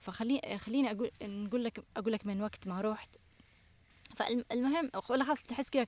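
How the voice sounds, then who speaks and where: With a dry, close sound and no echo, a woman speaks at a moderate pace in a fairly high voice with ordinary pitch variation. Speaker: natural products entrepreneur and cookbook author. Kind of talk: casual chat. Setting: outdoors on a farm.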